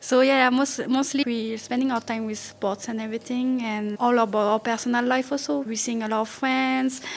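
A woman talks in a French accent, her pitch high and her speech hardly pausing. Noticeable background noise sits behind her. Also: moderate pace. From France, Paris region (Yvelines). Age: 20s. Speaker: school activities coordinator and gymnastics coach. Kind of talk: interview.

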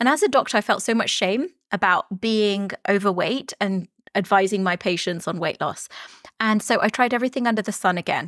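A woman with an unremarkable speaking voice, medium pitch, ordinary pitch variation and a moderate pace. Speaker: life and weight loss coach, doctor. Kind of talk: podcast interview. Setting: remote call across countries.

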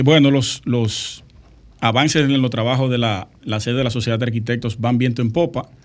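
A man with an ordinary speaking voice talks at a moderate pace. His pitch is medium and his intonation fairly even. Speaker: architect and radio co-host. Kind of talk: casual radio talk show.

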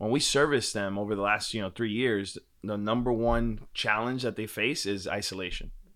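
With an unremarkable speaking voice and an American accent, a man talks at a moderate pace and fairly low pitch with fairly even intonation, on a very clean recording with a silent background. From Washington Heights, New York City. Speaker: startup co-founder. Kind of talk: casual interview.

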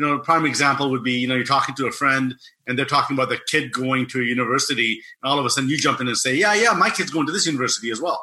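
A man's bright, sharp, fairly high voice at a very fast pace with ordinary pitch variation. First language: non-English language. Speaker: personal development coach. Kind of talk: interview.

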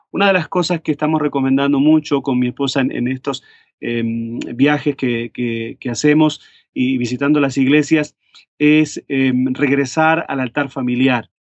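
Fairly even intonation carries this fairly slow speech. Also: man, fairly high pitch for a man. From Uruguay, Montevideo. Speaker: pastor. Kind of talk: interview. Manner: hesitant with many fillers.

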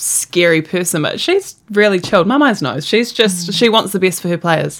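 In a New Zealand accent, a woman speaks with a fairly low pitch and ordinary pitch variation. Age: young. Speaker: netball player. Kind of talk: interview.

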